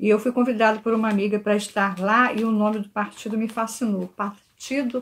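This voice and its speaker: A somewhat breathy woman's voice, fairly high-pitched, with monotone, flat intonation. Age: 60s. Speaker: church member giving a talk. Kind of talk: church talk. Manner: earnest.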